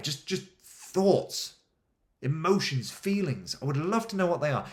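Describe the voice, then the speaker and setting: A man's voice with vocal fry, an animated tone and lively intonation. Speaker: adventure coach, podcast host. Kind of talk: motivational podcast monologue. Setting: home kitchen. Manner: fast.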